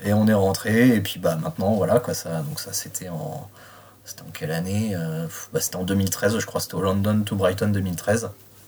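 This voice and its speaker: Words come at a fairly slow pace, and noticeable background noise runs underneath. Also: man. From Reims, France. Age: 30s. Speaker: car enthusiast. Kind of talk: interview. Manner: halting.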